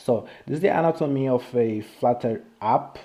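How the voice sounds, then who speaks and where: A man speaks with a non-native accent. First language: Portuguese. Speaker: software developer, live streamer. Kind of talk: live-stream technical walkthrough. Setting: live stream. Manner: halting, many fillers and restarts.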